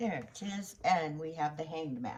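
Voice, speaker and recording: Soft-spoken, a woman talks with a very deep, low pitch. She moves at a fairly slow pace with lively intonation. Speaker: tarot reader. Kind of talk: tarot reading. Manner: halting.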